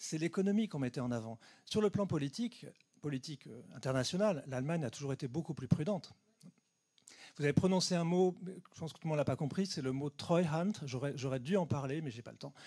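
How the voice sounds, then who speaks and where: Fairly high-pitched and somewhat breathy, a man with a dark, mellow tone talks at a fairly quick pace, his intonation lively and his loudness swinging widely. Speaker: geographer giving a talk. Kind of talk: lecture Q&A answer. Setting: conference hall with audience. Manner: fast.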